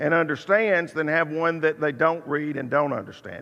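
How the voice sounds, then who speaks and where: Against a quiet background, a man with a fairly high pitch talks at a moderate pace in an unremarkable speaking voice. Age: 60s. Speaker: preacher teaching Bible class. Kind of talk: Bible class lecture. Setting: church auditorium.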